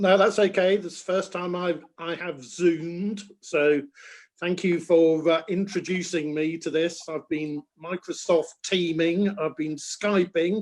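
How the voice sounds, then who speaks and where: At a fairly slow pace, a man talks with fairly even intonation. His pitch is high. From England, Bristol area. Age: 60s. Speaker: bird conservationist and author. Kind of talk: interview. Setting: video call.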